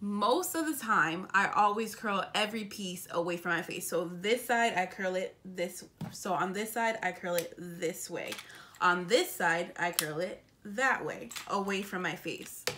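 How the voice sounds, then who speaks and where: A woman talks at a fairly slow pace. Background noise is noticeable throughout. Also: medium pitch for a woman, ordinary pitch variation. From US Northeast, Springfield, Massachusetts. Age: 20s. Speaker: beauty vlogger. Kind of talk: tutorial.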